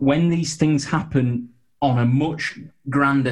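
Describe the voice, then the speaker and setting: At a fairly slow pace, a man with a medium pitch speaks in a somewhat breathy voice with monotone, flat intonation. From northeast England. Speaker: sports officiating business founder. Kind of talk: interview. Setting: video call. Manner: halting, repeats words.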